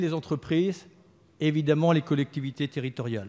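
A man against a quiet background. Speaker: government minister. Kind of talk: parliamentary speech. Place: hall. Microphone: podium.

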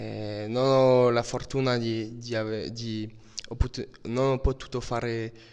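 A man speaks in a French accent. His intonation is monotone and flat. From France, Brittany. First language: French (speaking Italian). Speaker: footballer. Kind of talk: interview. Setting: training camp. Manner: halting. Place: home room. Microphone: handheld.

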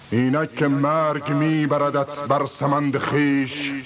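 A man talks very slowly while noticeable noise sounds in the background. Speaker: stage and television actor. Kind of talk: poetry reading. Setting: studio. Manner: emotional, impassioned.

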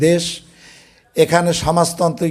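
A man talks with a dark, mellow tone. His pitch sits high. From Bangladesh, Barisal region. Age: 70s. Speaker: war veteran, local commander. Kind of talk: public speech at protest meeting. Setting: public meeting with audience.

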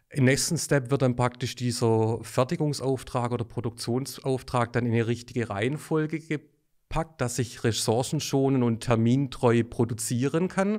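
A man's medium-pitched, a normal speaking voice at a moderate pace, with ordinary pitch variation and hardly any pauses. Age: 40s. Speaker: sales manager. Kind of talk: expert interview.

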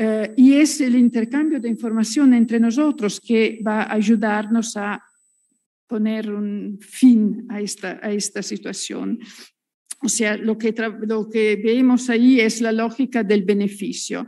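A woman with an Italian accent, somewhat breathy, dark and mellow in tone, fairly high in pitch with fairly even intonation, at a very slow pace over a quiet background. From Italy. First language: Italian (speaking Spanish). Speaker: journalist, panelist. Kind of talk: conference presentation. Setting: auditorium. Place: hall. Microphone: podium.

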